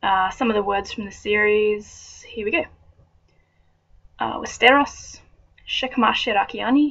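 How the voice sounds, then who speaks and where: A woman with an Australian accent talks at a fairly slow pace, with long, frequent pauses, big swings in loudness and ordinary pitch variation. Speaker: vlogger. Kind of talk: reading aloud; casual chat.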